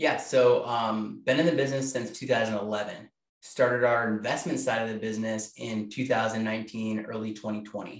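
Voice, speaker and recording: A man at a medium pitch talks fairly quickly with hardly any pauses. His intonation stays fairly even. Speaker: real estate team leader. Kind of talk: interview. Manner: fast.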